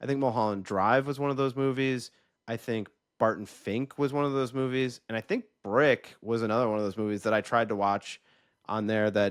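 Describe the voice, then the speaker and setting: Fairly quick delivery with fairly even intonation. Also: man, medium pitch for a man, quiet background. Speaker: podcast co-host, film fan. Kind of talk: casual chat. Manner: halting, repeats words.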